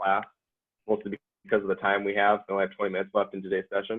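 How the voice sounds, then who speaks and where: A man's fairly low voice at a very fast pace. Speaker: coding class instructor, student software team lead. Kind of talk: lecture.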